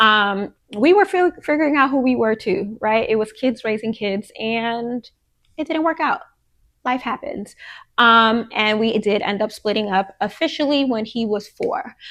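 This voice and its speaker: A woman speaks in a normal speaking voice at a fairly slow pace, fairly high in pitch with lively intonation. The background is quiet. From Queens, New York. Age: 30s. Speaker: podcast host. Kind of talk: casual monologue. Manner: conversational, many fillers.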